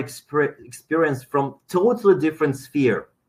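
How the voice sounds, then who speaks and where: A man speaks with a non-native accent. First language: not English. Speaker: dentist. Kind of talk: webinar lecture. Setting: online webinar. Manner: hesitant, many fillers.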